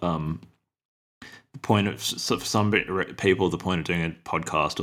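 His delivery moves at a moderate pace. Vocal fry marks this man's voice. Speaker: podcast co-host. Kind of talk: casual book discussion. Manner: halting, many fillers.

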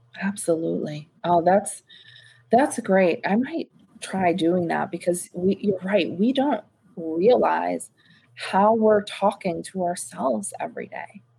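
A woman's unremarkable speaking voice, medium in pitch, at a fairly slow pace. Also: lively intonation. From US, New York then Florida. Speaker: podcast host, diversity executive. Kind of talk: interview.

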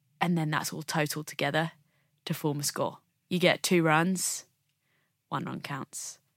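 In a very clean, dry and close recording with a silent background and no echo, a woman with a southern English accent speaks at a moderate pace in a very deep, low pitch, with monotone, flat intonation and long, frequent pauses. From England, Bromley (south-east London). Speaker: Olympic snowboarder. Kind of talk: interview.

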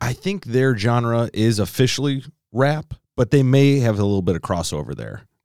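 Here is a man with a normal speaking voice, medium pitch and an American accent, talking at a moderate pace. His intonation is lively, and the sound is dry and close with no echo. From Chicago. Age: 30s. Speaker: podcast co-host. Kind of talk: casual chat.

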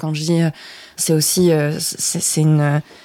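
Fairly low pitch from a woman, with a dark, mellow tone. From southern France, Provence. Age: 20s. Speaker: journalist. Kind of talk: interview.

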